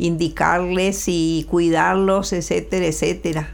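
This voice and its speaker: A woman speaks at a fairly slow pace with fairly low pitch. Her intonation stays fairly even. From Colombia, Valle del Cauca (Buga/Cali). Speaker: immigrant mother. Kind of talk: interview. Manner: halting, repeats words.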